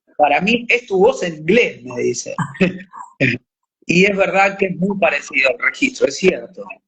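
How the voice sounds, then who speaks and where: A man with a Rioplatense accent speaks at a moderate pace, leaving long, frequent pauses. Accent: Argentine Rioplatense Spanish. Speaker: actor and voice actor. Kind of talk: interview. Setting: live stream.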